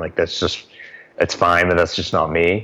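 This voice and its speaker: A man speaks with an American accent at a very deep, low pitch. His pace is fairly quick. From Boston. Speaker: author and life coach. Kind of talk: interview.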